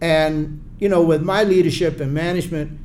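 Audible room echo surrounds a speaker with a South Carolina accent talking at a moderate pace. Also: man. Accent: Southern US (South Carolina). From US South, Charleston, South Carolina. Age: 70s. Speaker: retired Air Force colonel, civil rights activist. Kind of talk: interview.

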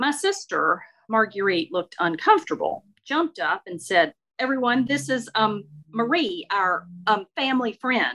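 A woman with a Mississippi accent, a bright, sharp tone, very wide pitch swings and a moderate pace. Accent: Mississippi Southern. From US South, northeast Mississippi. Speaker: author and storyteller. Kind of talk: reading aloud; interview.

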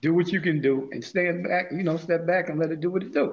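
A man speaks with a New York accent in a fairly high pitch. His tone is animated. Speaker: podcast host. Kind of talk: casual chat.

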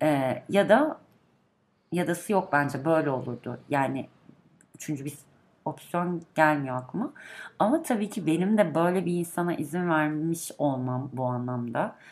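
A woman talks at a fairly slow pace with lively intonation. Her pitch is very deep and low. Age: 30s. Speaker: podcast guest, longtime listener. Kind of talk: casual chat.

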